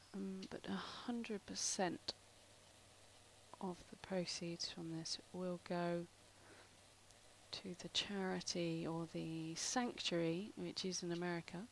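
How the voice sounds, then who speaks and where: Speaking at a very slow pace with long, frequent pauses, a woman with a British accent uses a fairly low pitch and fairly even intonation. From UK. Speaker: artist. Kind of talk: live stream tutorial. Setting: live stream. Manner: casual, rambling with fillers.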